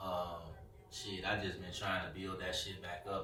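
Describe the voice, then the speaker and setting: A man with a very deep, low voice talks at a fairly quick pace in a monotone, flat delivery, with audible room echo and noticeable background noise. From US Midwest, West Side of Chicago. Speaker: rapper. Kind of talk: casual interview.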